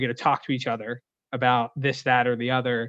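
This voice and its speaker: Speaking with an American accent at a fairly quick pace, a man holds a medium pitch in a monotone, flat intonation. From Pennsylvania, near Pittsburgh. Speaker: sports group sales executive. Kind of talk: interview. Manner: fast.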